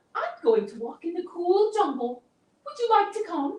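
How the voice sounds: In a put-on character voice, extremely high and swinging very widely in pitch, the speaker goes at a moderate pace.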